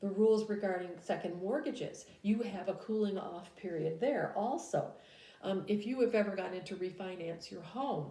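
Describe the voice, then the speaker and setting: A woman speaks at a moderate pace with a medium pitch and ordinary pitch variation. There is audible room echo. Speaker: business law teacher. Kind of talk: recorded lecture. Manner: hesitant with frequent fillers.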